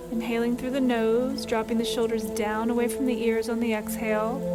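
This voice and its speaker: A woman with an American accent, fairly high pitch, monotone, flat intonation, very even loudness and a fairly quick pace, music in the background. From Louisiana, USA. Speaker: meditation guide. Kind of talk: guided meditation.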